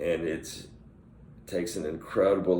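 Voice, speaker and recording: A man's voice with audible room echo. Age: 50s. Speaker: vlogger who stutters. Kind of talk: personal reflection monologue. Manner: halting with repetitions.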